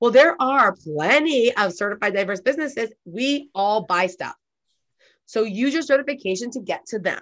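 A woman speaks in a normal speaking voice with an American accent, her pitch fairly high and her intonation lively. She keeps a moderate pace against a quiet background. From Southern California. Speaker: small business owner and certification consultant. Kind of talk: interview.

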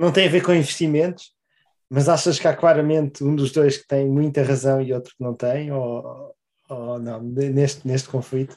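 With a European Portuguese accent, a man talks at a moderate pace in fairly even intonation, his loudness swinging widely. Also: fairly high pitch for a man. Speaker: podcast co-host. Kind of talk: casual chat.

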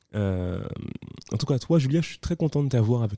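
Recorded dry and close with no echo and a quiet background, a man speaks in a dark, mellow tone with lively intonation. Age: 30s. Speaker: podcast host. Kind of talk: casual interview. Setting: coworking space.

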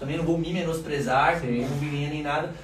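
A man talks at a fairly quick pace. Audible room echo and noticeable background noise run through the recording. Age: 30s. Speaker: restaurant owner, entrepreneur. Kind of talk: casual interview chat.

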